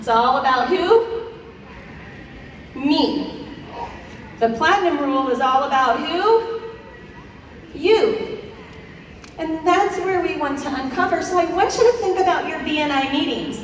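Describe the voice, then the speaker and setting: Speaking in an American accent at an extremely high pitch, a woman uses an animated tone and very wide pitch swings at a fairly slow pace, with long, frequent pauses, audible room echo and noticeable background noise. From US East Coast. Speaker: business speaker. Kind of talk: conference keynote. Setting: stage with audience.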